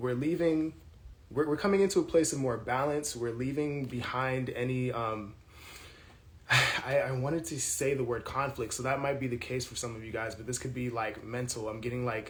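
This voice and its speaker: Amid noticeable background noise and audible room echo, a man with a medium pitch talks at a moderate pace with ordinary pitch variation. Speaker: tarot reader. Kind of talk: tarot reading monologue. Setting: apartment with thin walls. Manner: loud; casual, filler-heavy.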